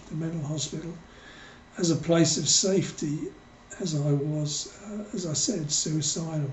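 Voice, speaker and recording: Delivered at a very slow pace with fairly even intonation, the speech carries audible room echo. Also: man. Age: 60s. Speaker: author. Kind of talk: personal testimony. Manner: hesitant, many fillers.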